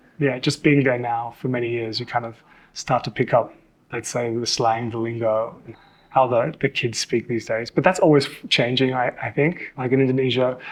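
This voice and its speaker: With an Australian accent, a man talks at a moderate pace, his medium pitch held to a fairly even intonation. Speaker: model and TV presenter. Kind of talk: casual interview chat.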